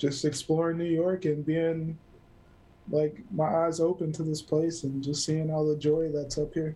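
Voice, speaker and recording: A man speaks fairly slowly with a dark, mellow tone and a fairly high pitch. He leaves long pauses often. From US South, South Carolina (Greer). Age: 30s. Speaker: photographer and cinematographer. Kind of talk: casual interview chat. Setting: remote call.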